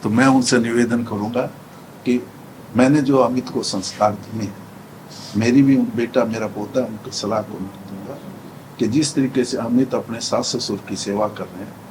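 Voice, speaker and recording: A medium-pitched male voice with fairly even intonation and big swings in loudness, over noticeable background noise. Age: 70s. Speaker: politician. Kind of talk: interview.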